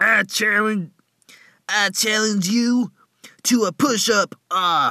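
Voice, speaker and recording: A cartoonish character voice at a very slow pace, broken by long, frequent pauses. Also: man, high pitch for a man, very clean recording, silent background. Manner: casual, excitable.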